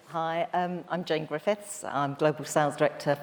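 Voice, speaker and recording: A woman with a London accent, fairly even intonation and a moderate pace. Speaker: hotel sales director. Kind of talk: panel discussion.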